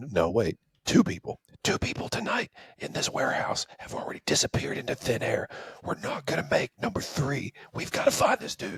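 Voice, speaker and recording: A man whispers in a raspy, put-on character voice at a fairly quick pace. The sound is dry and close with no echo. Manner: whispering; urgent, tense.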